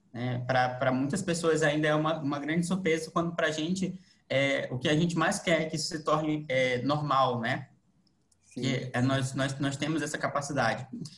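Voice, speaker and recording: A man's fairly high-pitched voice at a moderate pace, with fairly even intonation. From Manaus, Brazil. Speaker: lawyer and guest interviewer. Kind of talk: interview. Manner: halting.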